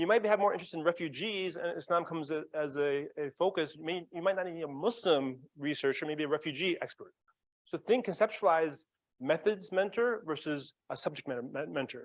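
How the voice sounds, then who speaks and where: This man's voice sits high in pitch, with ordinary variation. He talks at a fairly quick pace. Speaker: psychiatrist mentoring graduate students. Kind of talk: interactive workshop talk. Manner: fast.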